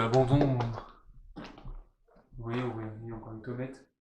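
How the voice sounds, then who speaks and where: The speaker is a man. Audible echo fills the room. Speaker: urban explorer vlogger. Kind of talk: casual vlog narration. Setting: outdoors.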